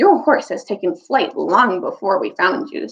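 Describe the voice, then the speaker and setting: A put-on character voice, high-pitched and husky, with very wide swings in pitch. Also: moderate pace. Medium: read story.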